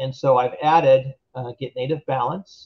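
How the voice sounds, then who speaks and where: A somewhat breathy man at a medium pitch and a moderate pace. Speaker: web3 game development tech lead. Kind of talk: technical workshop tutorial. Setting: remote video workshop. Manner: hesitant fillers.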